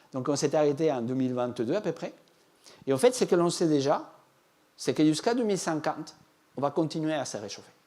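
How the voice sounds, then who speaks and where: Speaking at a fairly quick pace with a non-native accent, the man leaves long, frequent pauses. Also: fairly high pitch for a man. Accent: foreign accent in French. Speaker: agricultural climate scientist. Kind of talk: public lecture. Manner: hesitant, with fillers.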